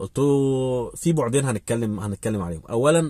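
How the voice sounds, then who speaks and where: A man speaks in a somewhat breathy voice. The sound is dry, with no echo. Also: quiet background. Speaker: vlogger giving advice. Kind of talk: casual vlog chat, storytelling. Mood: animated, recounting a conversation. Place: car. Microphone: phone near.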